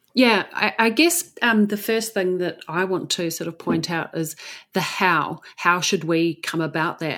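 In a very clean recording with a silent background, a woman with an Australian accent speaks fairly slowly, her pitch fairly low and her intonation fairly even. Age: 40s. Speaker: salon business coach, former salon owner. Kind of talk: interview conversation.

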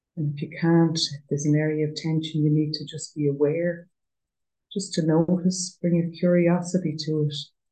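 In an Irish accent, a woman speaks with a very deep, low pitch, a dark, mellow tone, a somewhat breathy quality and monotone, flat intonation. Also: moderate pace. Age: 50s. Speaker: trainee prison chaplain and yoga teacher. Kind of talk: guided meditation; interview conversation.

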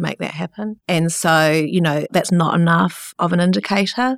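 A woman in a New Zealand accent with a very deep, low pitch at a moderate pace, in a dry, close sound with no echo and a very clean recording with a silent background. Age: 50s. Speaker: entrepreneur and researcher. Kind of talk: interview.

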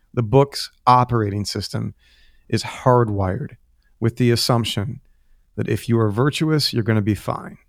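An unremarkable speaking voice from a man at medium pitch, moderate in pace, with fairly even intonation. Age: 30s. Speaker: pastor. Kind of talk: interview conversation. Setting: remote call from home.

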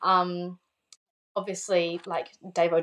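Her voice is a woman's at a fairly low pitch, with an Australian accent. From South Australia, Adelaide. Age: 20s. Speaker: motorbike racer. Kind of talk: casual chat. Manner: casual, laughs often.

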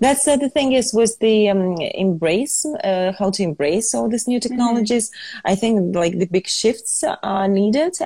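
A woman with a fairly high pitch, a somewhat breathy voice and a dark, mellow tone. She talks at a moderate pace with lively intonation and hardly any pauses. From Ukraine. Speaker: fashion entrepreneur. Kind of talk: interview.

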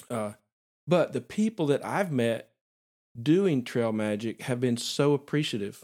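In a Southern US accent, a man talks at medium pitch with lively intonation and a fairly slow pace. The recording is very clean, with a silent background. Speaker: podcast host and photographer. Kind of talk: interview podcast conversation. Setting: recording in a vacant house with improvised soundproofing.

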